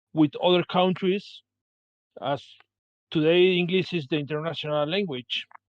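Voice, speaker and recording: Someone speaks with a Spanish accent at a fairly slow pace. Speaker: game designer. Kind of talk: panel discussion. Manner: halting.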